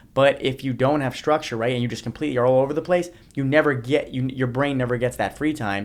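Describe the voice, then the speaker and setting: A man at a medium pitch, very fast, with fairly even intonation. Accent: American. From New Jersey. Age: 30s. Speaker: motivational speaker. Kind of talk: podcast interview.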